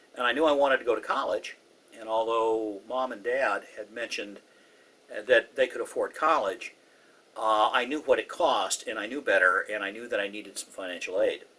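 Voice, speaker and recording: A man with an American accent at a fairly quick pace, with big swings in loudness over noticeable background noise. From US West Coast, Southern California (Orange County). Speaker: former Air Force missile officer. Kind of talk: oral history interview.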